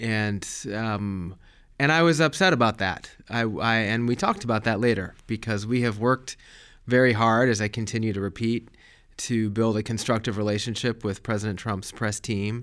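On a very clean recording with a silent background, a man with a General American accent uses an unremarkable speaking voice at medium pitch and a moderate pace. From Colorado, US. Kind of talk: interview.

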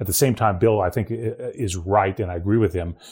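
Somewhat breathy, a man with an American accent talks at a moderate pace. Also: very clean recording, silent background. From Ohio, rural. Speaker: trade policy analyst. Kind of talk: casual chat. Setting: recording from home.

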